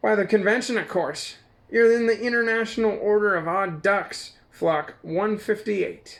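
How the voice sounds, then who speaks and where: A man's put-on character voice, high in pitch, at a moderate pace. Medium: read story. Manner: jokey, playful.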